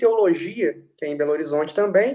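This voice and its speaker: High-pitched with a dark, mellow tone, a man speaks at a moderate pace with lively intonation. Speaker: philosophy scholar. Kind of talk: interview, explaining philosophy.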